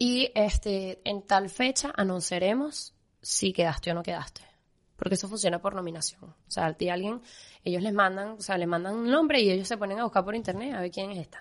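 In a normal speaking voice with a medium pitch and ordinary pitch variation, a woman talks at a fairly quick pace with big swings in loudness against a quiet background. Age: 20s. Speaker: pastry chef. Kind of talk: interview.

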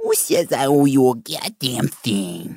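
In a put-on character voice, the speaker goes at a fairly slow pace with a low-to-middle pitch. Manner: grumpy, indignant.

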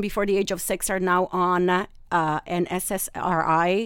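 A woman speaks at a medium pitch in an Italian accent. The recording is very clean, with a silent background. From Italy, Rome. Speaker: holistic nutritionist. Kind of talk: expert interview. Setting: studio.

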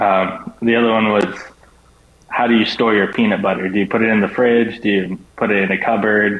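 The speech moves at a moderate pace with monotone, flat intonation and very even loudness. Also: man. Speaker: college baseball player. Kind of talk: radio interview. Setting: remote call with earbuds.

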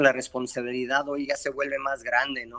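Against a quiet background, a man with a medium pitch and a bright, sharp tone speaks at a moderate pace. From Mexico, Guadalajara. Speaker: boxing trainer. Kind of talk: interview. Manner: halting.

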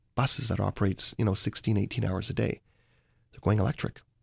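A man talks at a very fast pace. His voice is fairly low-pitched and somewhat breathy. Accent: Canadian. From Vancouver, Canada. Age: 40s. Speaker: investor and author. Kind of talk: interview.

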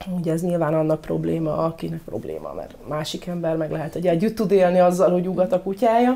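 A woman talks very fast with hardly any pauses, her dark, mellow tone fairly low in pitch with ordinary pitch variation. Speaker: dog trainer. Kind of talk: casual interview.

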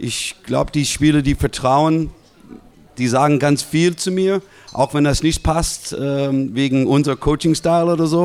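In an English accent, a man speaks at a fairly slow pace with a fairly high pitch and fairly even intonation. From US West Coast (Los Angeles). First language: English (speaking German). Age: 50s. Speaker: basketball assistant coach. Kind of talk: live podcast interview. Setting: live audience in a restaurant.

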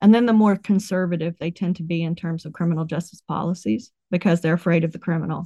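Speaking at a very fast pace with an American accent, a woman has a fairly low, somewhat breathy voice with a dark, mellow tone and ordinary pitch variation, recorded dry and close with no echo against a quiet background. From West Virginia. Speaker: professor. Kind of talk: interview.

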